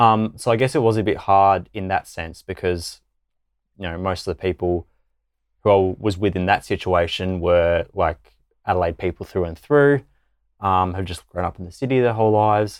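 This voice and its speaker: An Australian accent comes through on a very clean recording with a silent background. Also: man, very deep, low pitch for a man, ordinary pitch variation, moderate pace, dry, close sound with no echo. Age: 20s. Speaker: law student and youth ambassador. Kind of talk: casual chat.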